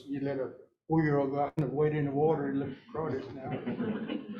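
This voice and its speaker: Somewhat breathy and fairly high-pitched, a man speaks at a fairly quick pace with audible room echo. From Oklahoma, rural Cherokee community. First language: Cherokee. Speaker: Cherokee language speaker. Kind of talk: talk to audience. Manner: halting, many fillers.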